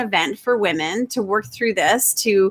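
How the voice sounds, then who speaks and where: At a moderate pace, a normal speaking voice moves with lively intonation. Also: woman. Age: 40s. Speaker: interview host. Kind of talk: interview.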